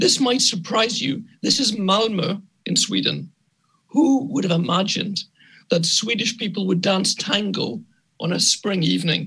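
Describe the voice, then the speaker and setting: With a Scottish accent, a man projects a raised, high-pitched voice that is bright and sharp, moving at a moderate pace with lively intonation. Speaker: architect and urban planner. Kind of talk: conference lecture. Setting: conference talk.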